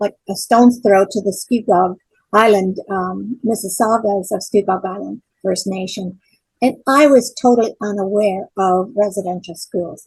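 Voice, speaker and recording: Somewhat breathy, her medium-pitched voice keeps a fairly even intonation. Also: moderate pace. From Ontario, Canada (Port Perry). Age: 70s. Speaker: church member and event organizer. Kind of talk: interview. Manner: halting.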